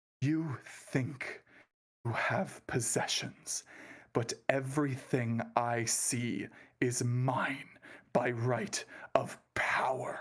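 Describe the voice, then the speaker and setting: A man whispers in a put-on character voice. He goes at a very slow pace. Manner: menacing, commanding.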